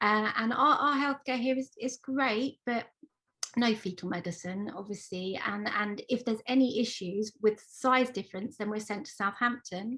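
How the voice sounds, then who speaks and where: The speaker has a southern English accent and a moderate pace. Pitch varies in an ordinary way. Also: woman, fairly high pitch for a woman. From Isle of Wight, England. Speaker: parent of twins, book author. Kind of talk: panel discussion.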